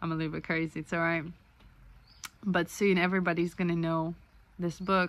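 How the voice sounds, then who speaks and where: Speech at a fairly quick pace with long, frequent pauses, a monotone, flat intonation and a non-native accent. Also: woman, fairly low pitch for a woman. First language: not English. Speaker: author and vlogger. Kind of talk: casual video blog monologue. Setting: self-recorded video. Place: home room. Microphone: phone near.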